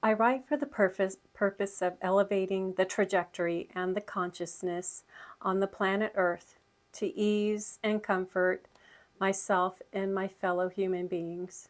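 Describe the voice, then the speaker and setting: Speaking at a fairly slow pace, a woman with a medium-pitched voice keeps her intonation fairly even over a very clean recording with a silent background. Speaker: spiritual channel host. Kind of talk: reading aloud. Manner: slow, articulated.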